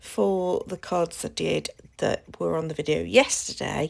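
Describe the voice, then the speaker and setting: A woman talks with a British accent. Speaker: craft channel host. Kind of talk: tutorial. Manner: casual, hesitant with fillers.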